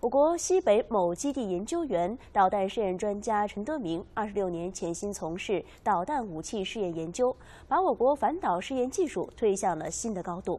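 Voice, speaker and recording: A woman with a dark, mellow tone speaks at a moderate pace. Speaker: news anchor. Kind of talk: news reading. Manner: formal. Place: studio. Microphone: lapel.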